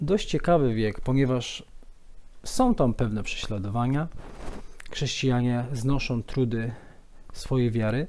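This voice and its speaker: A man speaks with ordinary variation in his pitch. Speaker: presenter. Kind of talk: lecture. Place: office.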